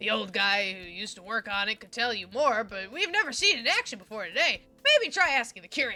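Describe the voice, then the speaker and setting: A woman does a put-on character voice at a fairly high pitch. She races along at a very fast pace with hardly any pauses, faint music in the background. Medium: game stream. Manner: casual, rambling.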